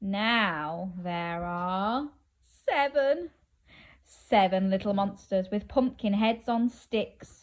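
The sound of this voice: A woman with a medium pitch talks at a very slow pace. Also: ordinary pitch variation.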